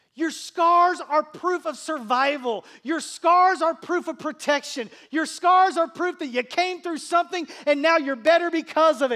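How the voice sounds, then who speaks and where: A man's raised, projected voice rings at an extremely high pitch with a bright, sharp tone. He goes at a fairly slow pace in a very clean recording with a silent background. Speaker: pastor. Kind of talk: sermon. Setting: church. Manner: conversational, warm, humorous; fervent, pleading, rising intensity in prayer.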